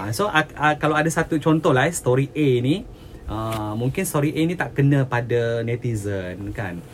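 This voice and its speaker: The voice is somewhat breathy, with lively intonation. It moves at a moderate pace. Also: man, medium pitch for a man. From Sabah, Malaysia (Tawau). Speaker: entertainment journalist. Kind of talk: casual chat.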